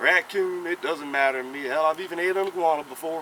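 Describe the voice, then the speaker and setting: A man with a South Carolina accent talks at a fairly quick pace over noticeable background noise. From US South, South Carolina. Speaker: cooking YouTuber. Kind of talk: casual cooking tutorial. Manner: casual, chatty.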